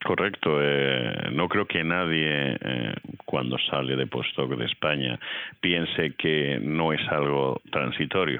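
In a Madrid accent, a man with a very deep, low pitch speaks at a very slow pace, with ordinary pitch variation and very even loudness. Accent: Castilian Spanish (Madrid). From Madrid, Spain. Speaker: physics professor. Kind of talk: interview. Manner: halting, with fillers.

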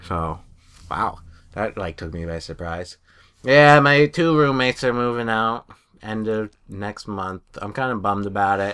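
A man with an American accent at a fairly low pitch, bright, sharp tone, lively intonation and a fairly slow pace, on a very clean recording with a silent background. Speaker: podcast co-host. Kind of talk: casual banter.

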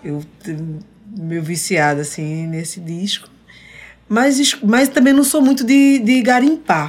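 A woman at a medium pitch with lively intonation, in an unremarkable speaking voice. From Recife, Brazil. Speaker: singer-songwriter. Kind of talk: casual chat, interview with duet. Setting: radio studio.

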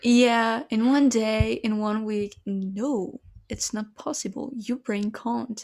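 A woman with a French accent speaks at a very slow pace in a fairly high voice with fairly even intonation. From France. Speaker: podcast co-host. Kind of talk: casual chat.

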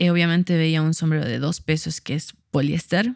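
Here is a woman with an ordinary speaking voice. She talks at a moderate pace in a dry, close sound with no echo. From Bolivia, Cochabamba. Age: 30s. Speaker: fashion designer. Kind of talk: casual chat.

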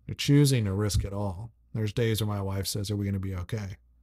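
On a very clean recording with a silent background, a man with an American accent speaks fairly quickly, somewhat breathy, with a fairly low pitch and a dark, mellow tone. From US South, Franklin, Tennessee. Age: 30s. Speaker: entrepreneur, company founder. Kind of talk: casual interview chat. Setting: host's living room.

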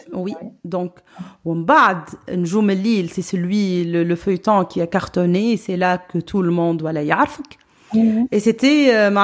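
A woman with a plain, everyday voice, medium pitch, ordinary pitch variation and a fairly slow pace. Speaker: podcast host. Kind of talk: interview.

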